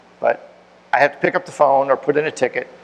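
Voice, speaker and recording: Over noticeable background noise, a man talks at a very fast pace in a fairly high pitch. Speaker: tech conference speaker. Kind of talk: technical talk with audience Q&A. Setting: meetup room with audience.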